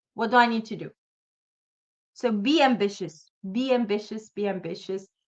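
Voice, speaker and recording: Animated in tone, a woman speaks with lively intonation. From Sudan, Khartoum. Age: 40s. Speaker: motivational speaker. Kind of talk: motivational talk.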